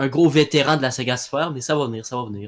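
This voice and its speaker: The speaker has a Quebec accent and a fairly quick pace. Their intonation stays fairly even. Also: man. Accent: Québécois. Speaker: audio drama creator. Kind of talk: interview. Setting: live voice chat. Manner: halting, many fillers.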